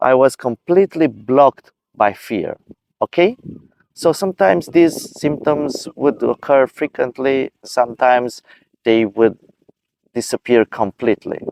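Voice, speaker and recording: A man with a non-native accent talks at a medium pitch with lively intonation. His pace is fairly slow. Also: dry, close sound with no echo. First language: not English. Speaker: video creator sharing personal experience. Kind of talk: personal advice talk. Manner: halting.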